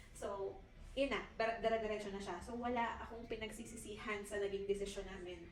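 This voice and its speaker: A woman speaks at a fairly quick pace in a monotone, flat intonation and a fairly high pitch, with audible room echo and noticeable background noise. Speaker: interviewee, Filipino mother who migrated to Finland. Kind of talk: interview.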